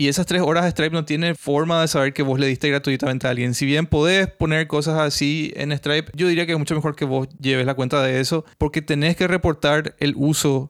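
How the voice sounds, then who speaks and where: A man talks at a fairly quick pace with a plain, everyday voice, fairly high in pitch. His intonation is fairly even, on a very clean recording with a silent background. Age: 30s. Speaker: podcaster and software developer. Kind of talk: solo tech podcast monologue. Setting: hot home studio.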